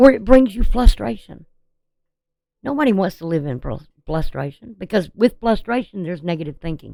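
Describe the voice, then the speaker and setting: This woman's voice is dark and mellow, medium in pitch, with some vocal fry. Her pitch swings very widely at a moderate pace. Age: 60s. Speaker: astrology and tarot reader. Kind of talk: recorded astrology forecast monologue. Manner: casual, hesitant with fillers.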